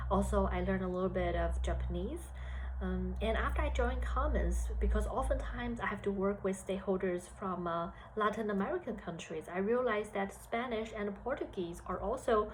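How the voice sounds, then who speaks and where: A woman with a Chinese accent speaks at a fairly quick pace, and room echo can be heard. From China. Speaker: HR analyst. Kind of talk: career talk to students. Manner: hesitant with fillers.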